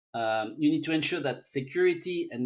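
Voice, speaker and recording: In a French accent, a man talks at a moderate pace with ordinary pitch variation. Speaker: technology expert. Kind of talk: interview. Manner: halting.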